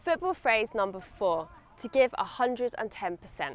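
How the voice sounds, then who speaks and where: In a British accent, a woman speaks at fairly high pitch with very wide pitch swings. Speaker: English teacher. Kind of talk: English lesson to camera. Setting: outdoors at a stadium. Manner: friendly, clear.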